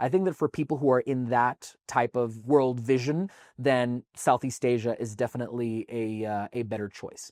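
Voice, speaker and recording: A man at medium pitch speaks at a moderate pace with hardly any pauses, recorded very cleanly against a silent background with a dry, close sound and no echo. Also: ordinary pitch variation. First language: Spanish. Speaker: tax advisor. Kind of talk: talking-head explainer video.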